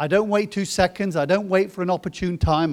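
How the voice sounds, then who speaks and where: With a British accent, the voice comes through on a very clean recording with a silent background. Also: man. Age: 50s. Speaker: pastor. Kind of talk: sermon.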